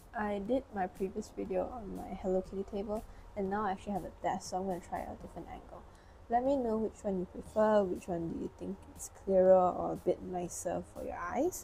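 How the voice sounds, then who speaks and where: A woman's somewhat breathy voice, dark and mellow in tone, sits at a medium pitch with ordinary pitch variation. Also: fairly quick pace. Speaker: tarot reader. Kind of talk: tarot reading to camera. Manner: casual, encouraging.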